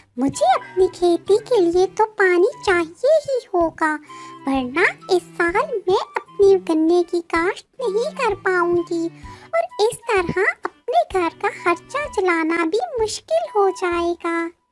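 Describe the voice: Over faint music in the background, a woman does a cartoonish character voice at an extremely high pitch, very slow pace and lively intonation, with a dry, close sound and no echo.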